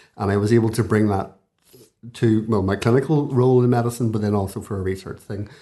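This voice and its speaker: Very fast and fairly even in intonation, a man speaks with a Belfast accent in a dark, mellow tone. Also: fairly low pitch for a man. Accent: Belfast (Northern Irish). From Belfast, Northern Ireland. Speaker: consultant intensivist and professor. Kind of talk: interview conversation.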